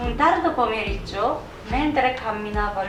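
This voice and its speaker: Speaking at a fairly slow pace, a woman has a Japanese accent. Audible room echo and noticeable background noise fill the recording. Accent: Japanese accent in Italian. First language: Japanese (speaking Italian). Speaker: YouTuber and singer. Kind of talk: reading aloud a folk tale. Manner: halting, stumbles on long words.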